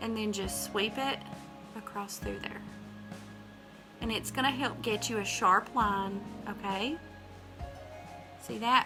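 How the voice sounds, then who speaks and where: In a Southern US accent, a woman speaks at a fairly slow pace with long, frequent pauses over music in the background. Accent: Southern American. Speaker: makeup artist. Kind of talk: casual talk to camera, tutorial demo.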